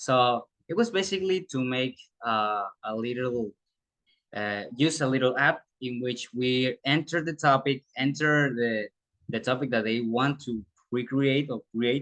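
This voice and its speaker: A man with a Spanish accent and medium pitch speaks at a fairly slow pace in a dry, close sound with no echo. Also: ordinary pitch variation. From Panama. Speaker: student teacher. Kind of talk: presentation of internship report. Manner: halting.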